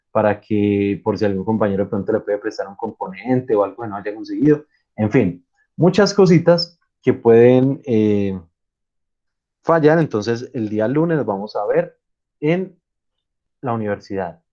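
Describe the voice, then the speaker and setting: A man speaks at a fairly slow pace in a medium pitch, his dark, mellow tone rising and falling with lively intonation between long, frequent pauses. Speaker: university lecturer. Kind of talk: online lecture.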